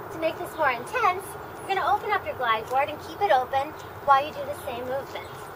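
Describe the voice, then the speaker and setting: Over noticeable background noise, a woman with a high pitch talks at a very fast pace, with very wide pitch swings and big swings in loudness. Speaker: fitness instructor. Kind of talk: tutorial. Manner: clear, instructional cueing, steady and upbeat.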